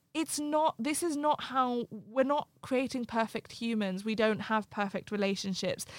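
In an unremarkable speaking voice, a woman talks at a fairly slow pace with hardly any pauses, her pitch fairly high with ordinary variation, the sound dry and close with no echo. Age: 20s. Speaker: life coach and writer. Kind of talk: casual interview conversation. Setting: studio, in-person recording.

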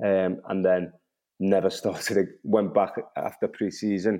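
At a moderate pace, a man delivers his words in a dark, mellow tone with monotone, flat intonation. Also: quiet background. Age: 30s. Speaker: professional footballer. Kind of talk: casual chat.

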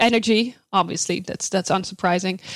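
On a very clean recording with a silent background, a woman with a Dutch accent speaks at a fairly quick pace in a medium pitch, with ordinary pitch variation. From Netherlands. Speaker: sustainability researcher. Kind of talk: interview.

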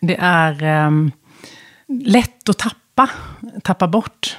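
At a fairly low pitch, a woman speaks with ordinary pitch variation in a dry, close recording with no echo. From Sweden, west coast (Halland). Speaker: business executive, former HR director. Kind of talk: interview conversation. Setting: studio.

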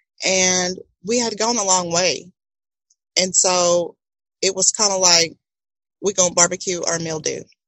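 Long, frequent pauses break up a woman's monotone, flat delivery in an American accent. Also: medium pitch for a woman, fairly slow pace. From Texas, Houston area. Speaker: podcast host and entrepreneur. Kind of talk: casual interview.

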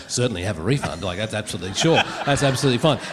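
Very fast speech in an Australian accent, with very wide pitch swings and noticeable background noise. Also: man. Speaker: radio broadcaster and musician. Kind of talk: live comedy panel. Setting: stage with audience.

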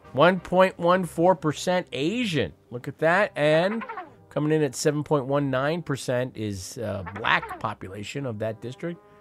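Over music in the background, a man with a fairly high pitch talks at a very slow pace with lively intonation. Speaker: radio host. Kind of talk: live call-in radio show, casual news commentary. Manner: wry, sardonic, chatty.

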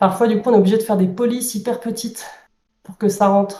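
A woman speaks in a dark, mellow, somewhat breathy tone with fairly even intonation. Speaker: board game publisher employee. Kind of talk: interview.

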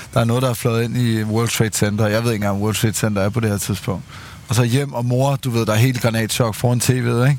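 A man speaks at a fairly quick pace in a plain, everyday voice. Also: medium pitch for a man, fairly even intonation. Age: 30s. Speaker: podcast host. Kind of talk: casual chat.

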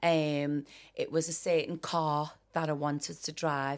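Speaking with a Liverpool accent at a fairly slow pace, a woman with a very deep, low pitch keeps fairly even intonation on a very clean recording with a silent background. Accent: Scouse. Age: 40s. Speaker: performer and dancer. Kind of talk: interview.

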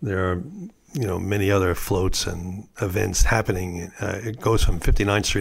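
A man's very deep, low, somewhat breathy voice in a New York accent, at a moderate pace with fairly even intonation. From US Northeast, New York City. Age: 70s. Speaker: artist and prankster. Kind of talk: interview. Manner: halting.

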